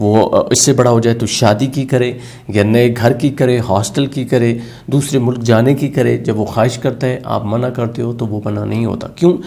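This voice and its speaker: A man's medium-pitched voice, a plain, everyday voice, with fairly even intonation. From Pakistan. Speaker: motivational speaker, radio jockey. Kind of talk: motivational lecture.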